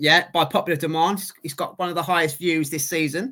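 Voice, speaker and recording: On a very clean recording with a silent background, a man with a squeaky voice and a bright, sharp tone talks at a fairly quick pace in a monotone, flat intonation. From London.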